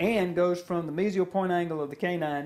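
A man with a high pitch at a moderate pace. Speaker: dentist instructor. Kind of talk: instructional demonstration.

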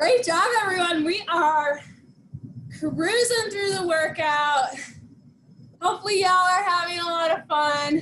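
Projecting her voice in an upbeat tone, a woman with an extremely high pitch and ordinary pitch variation speaks at a fairly slow pace with long, frequent pauses, over light background noise. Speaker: fitness instructor. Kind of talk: live workout class instruction. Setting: video workout class. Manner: brisk, upbeat, cueing in short commands; animated, encouraging. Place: home room.

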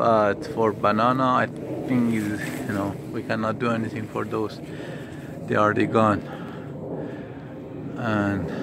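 A man talks at a fairly slow pace with long, frequent pauses. The sound is dry with no echo, but loud background noise runs underneath. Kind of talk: casual vlog chat. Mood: disappointed, resigned. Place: garden. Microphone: phone near.

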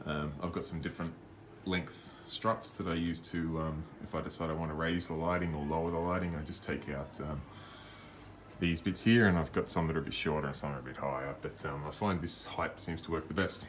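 A man with a very deep, low pitch talks at a fairly quick pace. His intonation is fairly even, with light background noise. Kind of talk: casual tour commentary. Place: home room. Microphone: phone near.

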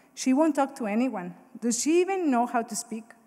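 Over a quiet background, a woman with a Mexican accent speaks at a fairly slow pace in a dark, mellow tone. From Mexico. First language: Spanish. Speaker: Hall of Fame inductee, former college golfer. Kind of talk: acceptance speech, read from prepared text. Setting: stage with audience at ceremony. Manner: emotional, slightly halting. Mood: grateful, emotional. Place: hall. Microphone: podium.

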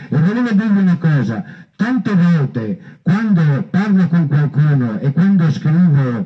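At a very slow pace, a man talks with a high pitch and lively intonation. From Veneto, Stienta area. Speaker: council candidate. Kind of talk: campaign speech. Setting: outdoors in a park.

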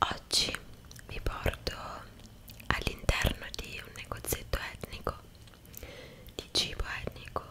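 Whispering at a very slow pace, a woman leaves long, frequent pauses while her loudness swings widely. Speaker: ASMR creator. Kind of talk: ASMR eating video with casual chat. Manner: soft-spoken. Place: home room.

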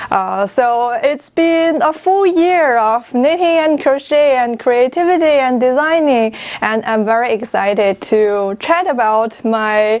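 Speaking at a very slow pace, a woman uses lively intonation. Her pitch is high. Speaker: knitting podcast host. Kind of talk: casual vlog chat. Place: home room. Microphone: lapel.

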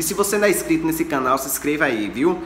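A man speaks at a very fast pace. Audible room echo and light background noise are present. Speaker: channel host. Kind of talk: casual vlog chat. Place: home room. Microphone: phone near.

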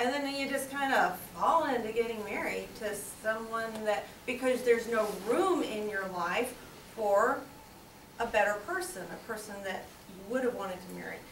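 At a moderate pace, a woman with a fairly high pitch talks with lively intonation, over light background noise and audible room echo. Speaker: university president's wife. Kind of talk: panel discussion. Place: hall. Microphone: camera far.

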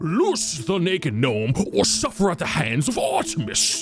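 Over clear music in the background, a man puts on a character voice at a fairly high pitch and a moderate pace. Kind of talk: comic overacting. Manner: bombastic, commanding.

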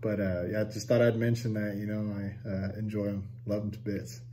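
A man with an American accent speaks at a moderate pace in a dark, mellow tone. His voice is somewhat breathy, with light background noise behind it. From Arizona. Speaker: university student. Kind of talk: class introduction video. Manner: hesitant, many fillers. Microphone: phone near.

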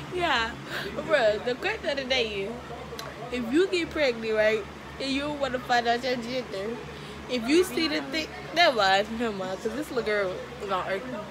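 A woman talks at a moderate pace with long, frequent pauses. Noticeable background noise runs underneath. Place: home room. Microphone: phone near.

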